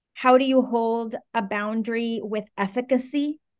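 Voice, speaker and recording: Here is a woman with an American accent and an unremarkable speaking voice. Her pitch is fairly high and her intonation fairly even. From Venezuela and Washington D.C. area. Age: 30s. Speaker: startup co-founder and COO. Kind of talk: podcast interview.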